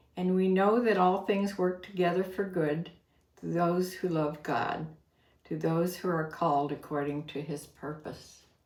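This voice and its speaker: A woman with an American accent speaks very slowly. Her voice sits fairly low, and her intonation stays fairly even. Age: 80s. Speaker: online reseller and YouTube vlogger. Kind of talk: casual talk to camera.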